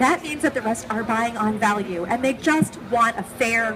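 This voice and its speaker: A woman's fairly high, upbeat voice with lively intonation at a fairly slow pace, over noticeable background noise. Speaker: trade show presenter. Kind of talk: live trade show presentation. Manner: upbeat, conversational.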